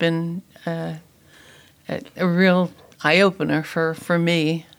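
A woman talks in an American accent at a very slow pace. Her intonation is monotone and flat. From New Jersey. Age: 80s+. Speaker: retired catechism teacher. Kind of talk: interview. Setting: studio.

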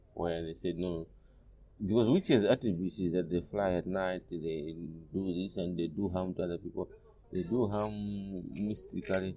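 Dark and mellow in tone, a man with a very deep, low pitch talks at a moderate pace with ordinary pitch variation. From Malawi. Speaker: humanist organization leader. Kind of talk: interview. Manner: halting.

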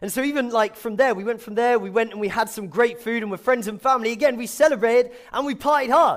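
A man with a southern English accent, talking at a very fast pace. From England, Milton Keynes. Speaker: youth pastor. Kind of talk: sermon. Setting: church.

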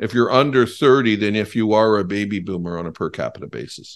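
Here a man with a Canadian accent talks at a fairly quick pace, using lively intonation. He has an unremarkable speaking voice, and the background is quiet. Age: 50s. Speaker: think tank executive. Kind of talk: interview.

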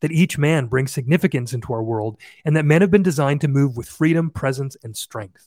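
A man with a Canadian accent, fairly high in pitch, dark and mellow in tone and somewhat breathy, at a fairly quick pace with ordinary pitch variation, on a very clean recording with a silent background and a dry, close sound with no echo. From Canada. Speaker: podcast host. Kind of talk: casual interview conversation.

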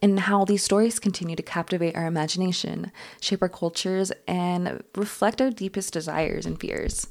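A woman with an American accent talks at a moderate pace in a fairly low pitch. Hers is a plain, everyday voice. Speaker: podcast host. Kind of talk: scripted-style solo podcast narration, explanatory storytelling. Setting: solo podcast recording. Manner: measured, informative documentary-style delivery, steady and clear; light, playful asides with laughter.

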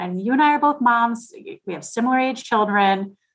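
A woman's ordinary speaking voice at a fairly high pitch, with lively intonation and a moderate pace. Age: 40s. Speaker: financial advisor, podcast co-host. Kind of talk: casual interview chat.

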